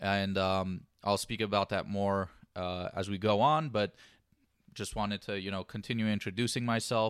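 A man's unremarkable speaking voice, fairly low in pitch, with an American accent, a moderate pace and fairly even intonation, on a very clean recording with a silent background. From Los Angeles area, US. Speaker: sports podcast host. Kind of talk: solo sports commentary podcast. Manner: casual with frequent fillers.

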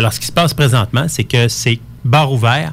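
Vocal fry at a moderate pace with ordinary pitch variation. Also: man. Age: 40s. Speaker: real estate lawyer. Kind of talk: radio interview.

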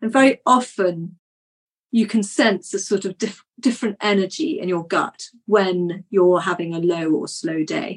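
A plain, everyday voice from a woman, medium in pitch, fairly slow, with lively intonation. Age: 50s. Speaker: naturopath. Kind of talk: interview.

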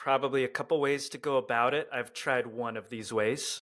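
In a very clean recording with a silent background, a man with an American accent and an unremarkable speaking voice talks at a moderate pace, medium in pitch with fairly even intonation. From Southern California. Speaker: lawn care social media creator. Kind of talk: casual interview chat.

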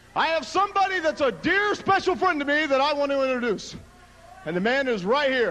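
A man's raised, projected voice, extremely high in pitch, with very wide pitch swings, an animated tone, a fairly quick pace and noticeable background noise. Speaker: wrestler in TV promo. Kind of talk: wrestling promo, clip replayed. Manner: brash, bragging, animated, aggressive.

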